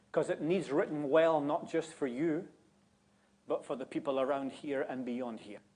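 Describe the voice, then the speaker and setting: In a Scottish accent, a man speaks fairly slowly at a fairly high pitch with ordinary pitch variation. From Scotland. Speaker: guest preacher. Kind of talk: sermon. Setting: church.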